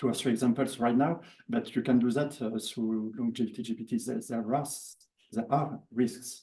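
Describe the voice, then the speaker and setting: A dark, mellow tone with a French accent, fairly even intonation and a moderate pace. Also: man. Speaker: workshop participant. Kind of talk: audience comment at workshop. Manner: halting.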